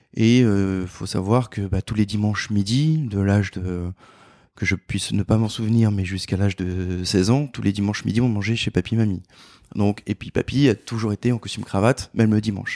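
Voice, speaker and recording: Dry and close with no echo, a man's dark, mellow tone sits at a fairly low pitch with fairly even intonation. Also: moderate pace, very clean recording, silent background. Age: 40s. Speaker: tailor. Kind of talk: casual chat.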